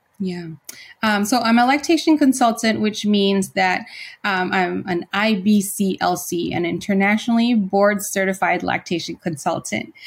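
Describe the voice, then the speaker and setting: In a very clean recording with a silent background, a woman talks at a medium pitch and a moderate pace, somewhat breathy, with ordinary pitch variation. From Philippines. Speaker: nursing professor and nurse practitioner. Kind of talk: interview. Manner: hesitant, many fillers.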